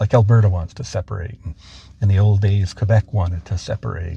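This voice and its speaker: A man's fairly low, somewhat breathy voice in a dark, mellow tone, with ordinary pitch variation and a fairly quick pace. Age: 60s. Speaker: author and trainer. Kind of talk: interview. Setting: impromptu interview.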